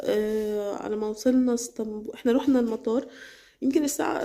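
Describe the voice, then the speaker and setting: A woman talks at a moderate pace. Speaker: vlogger. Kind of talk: personal testimony vlog. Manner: halting with many fillers.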